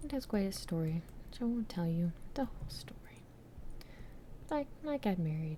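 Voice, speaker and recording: A woman whispers, soft-spoken and somewhat breathy. She keeps a moderate pace with long, frequent pauses. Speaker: ASMR creator. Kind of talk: ASMR trinket show-and-tell. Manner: whispered, soft-spoken.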